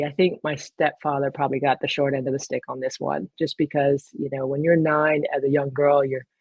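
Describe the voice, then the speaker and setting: A woman speaks with an American accent. Her voice is very deep and low, and her pace is fairly quick. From military child, grew up in England, Spain and the US. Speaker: retired navy officer and photographer. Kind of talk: interview.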